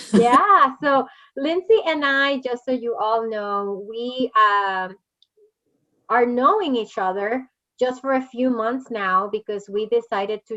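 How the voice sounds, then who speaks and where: A woman with a Spanish accent speaks at a very slow pace in a bright, sharp tone with ordinary pitch variation. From Puerto Rico. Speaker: podcast host. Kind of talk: interview.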